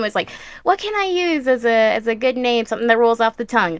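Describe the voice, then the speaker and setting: A woman's high-pitched, raised, projected voice with lively intonation at a very fast pace, over noticeable background noise. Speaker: artist. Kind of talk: casual interview. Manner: nervous, hesitant.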